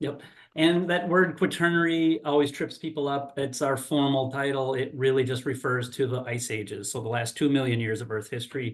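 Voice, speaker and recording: A man's fairly high voice at a fairly quick pace, with ordinary pitch variation, hardly any pauses and audible room echo. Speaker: geologist and university professor giving a talk. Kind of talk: lecture. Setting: video call. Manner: loud.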